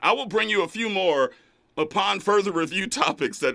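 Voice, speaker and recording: This man with an American accent has a high pitch and a bright, sharp tone. His voice is raised and projected, at a moderate pace. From Los Angeles, Inglewood. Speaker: radio talk show host. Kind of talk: call-in radio show. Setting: studio. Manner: animated.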